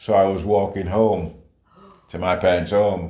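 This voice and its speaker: A man speaks with a dark, mellow tone and a very deep, low pitch. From St Kitts, moved to UK at 7. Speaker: retired police officer, community leader. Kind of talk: life story interview answer.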